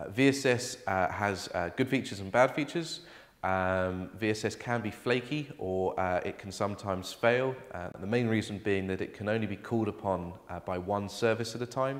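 A man with an ordinary speaking voice and fairly low pitch talks at a moderate pace, with ordinary pitch variation and hardly any pauses. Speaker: presenter. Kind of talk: tutorial. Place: office.

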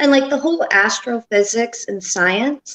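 Ordinary pitch variation marks a woman's speech, with quiet surroundings behind her. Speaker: guest. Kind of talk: casual call-in conversation. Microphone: phone line.

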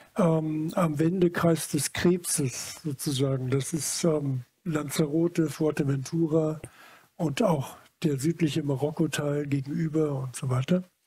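A man talks with a dark, mellow tone. His pace is fairly slow. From Germany, Munich; Germany. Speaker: photographer; interviewee. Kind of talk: public talk before audience. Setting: stage with audience. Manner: halting. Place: hall. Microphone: headset.

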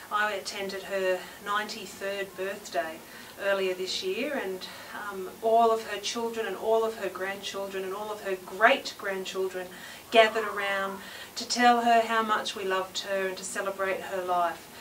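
A woman talks at a moderate pace in a monotone, flat intonation, with light background noise behind her. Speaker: local politician. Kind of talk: short video message to camera. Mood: warm, affectionate. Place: hall.

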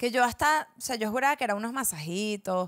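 A woman speaks in a fairly high, bright and sharp voice with a Venezuelan accent. Her intonation is lively, and the background is quiet. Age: 20s. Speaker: podcast co-host. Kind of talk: casual chat. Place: studio. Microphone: handheld.

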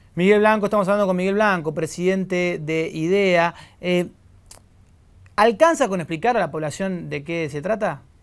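The man keeps a moderate pace, and the background stays quiet. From Argentina. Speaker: TV news interviewer. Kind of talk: news interview. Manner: halting. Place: studio.

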